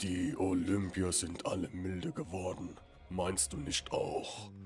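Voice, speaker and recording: A man's put-on character voice, very deep and low-pitched, at a fairly slow pace with clear background noise. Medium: game stream. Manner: cryptic, knowing.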